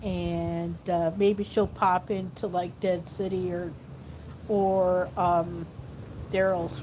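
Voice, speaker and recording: Soft-spoken and fairly low-pitched, a woman speaks very slowly with fairly even intonation. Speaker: vlogger. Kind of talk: casual vlog. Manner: soft-spoken, talking low; halting, many fillers.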